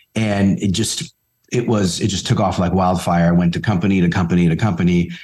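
Using an American accent, a man speaks at a moderate pace with a fairly low pitch and ordinary variation. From Bronx, New York. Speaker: author and pricing CEO. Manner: conversational, repeats 'right'.

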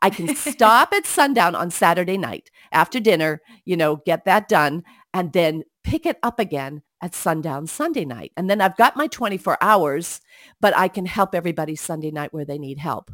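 A woman with a plain, everyday voice speaks at a moderate pace with a fairly low pitch and lively intonation, her loudness swinging widely in a dry, close sound with no echo on a very clean recording with a silent background. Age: 60s. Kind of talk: casual Bible discussion.

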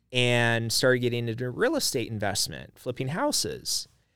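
This man has an unremarkable speaking voice at medium pitch, delivered at a moderate pace. The recording is very clean with a silent background. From Idaho. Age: 40s. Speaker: business owner. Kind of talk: interview.

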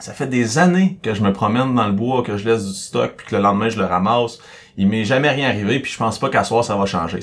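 Man with a Quebec accent at a very fast pace. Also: medium pitch for a man, ordinary pitch variation. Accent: Québécois French. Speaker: podcast co-host. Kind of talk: casual chat.

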